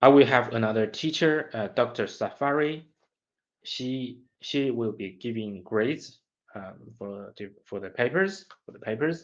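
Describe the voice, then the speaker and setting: A man's medium-pitched voice in a Chinese accent, fairly slow, with ordinary pitch variation. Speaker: graduate student. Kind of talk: study vlog monologue. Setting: self-recording. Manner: halting, with repetitions.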